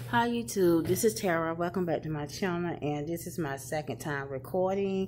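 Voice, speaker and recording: A woman talks with ordinary pitch variation while music plays behind her. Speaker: beauty vlogger. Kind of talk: casual vlog chat. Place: office. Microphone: phone near.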